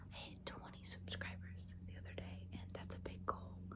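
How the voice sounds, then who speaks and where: A soft-spoken woman whispering at a moderate pace, with noticeable background noise. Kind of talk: ASMR essay reading. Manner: whispered, soft-spoken.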